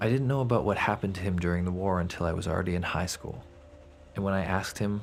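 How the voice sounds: A man with a low pitch and vocal fry.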